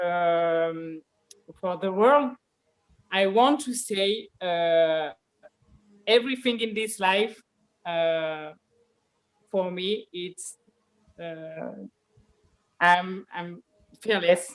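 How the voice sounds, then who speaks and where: In a French accent, the voice moves at a very slow pace with long, frequent pauses. Pitch variation is ordinary, while loudness swings widely. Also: woman, medium pitch for a woman. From France. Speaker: MMA fighter. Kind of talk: interview. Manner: halting, many fillers.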